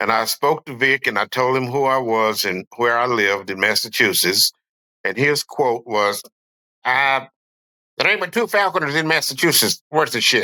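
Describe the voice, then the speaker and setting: In a dry, close recording with no echo, a man with a North Carolina accent speaks at a moderate pace and medium pitch, his tone bright and sharp and his intonation lively. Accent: Southern US (North Carolina). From US South, western North Carolina foothills. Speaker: falconer. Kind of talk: casual podcast interview. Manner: halting, many fillers.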